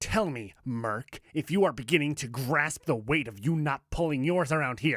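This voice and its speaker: In a put-on character voice, a man growls and bellows at a moderate pace. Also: fairly high pitch for a man. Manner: bellowing, angry.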